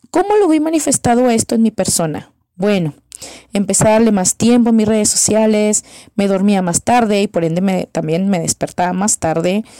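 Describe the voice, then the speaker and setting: A woman's dark, mellow voice carries lively intonation at very even loudness, recorded dry and close with no echo. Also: medium pitch for a woman, moderate pace. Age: 30s. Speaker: psychologist and church missions leader. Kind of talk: recorded testimony.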